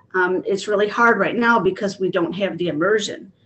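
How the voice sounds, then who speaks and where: With noticeable background noise behind her, a woman speaks at a fairly quick pace in a medium pitch. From Illinois. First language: Spanish. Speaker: kindergarten teacher and board candidate. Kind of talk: panel discussion. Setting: video call.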